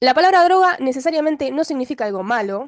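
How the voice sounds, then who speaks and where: A woman speaks at a fairly quick pace. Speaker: doctor training in psychiatry, YouTuber. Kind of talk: educational video monologue. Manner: casual, with many fillers.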